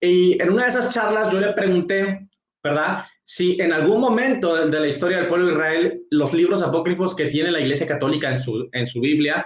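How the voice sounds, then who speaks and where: Talking at a fairly quick pace, a man uses lively intonation and a high pitch. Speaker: evangelical pastor and apologist. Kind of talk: apologetics rebuttal monologue. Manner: halting, self-correcting.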